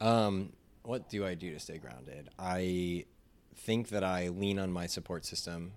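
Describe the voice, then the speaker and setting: A man with an American accent, very deep and low in pitch, at a fairly slow pace with ordinary pitch variation. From New York. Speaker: music industry professional. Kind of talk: casual chat. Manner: animated.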